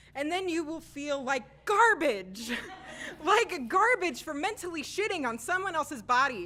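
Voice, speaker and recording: Raising and projecting her voice, a woman speaks at a moderate pace with lively intonation. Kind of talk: spoken word poetry performance. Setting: live open mic.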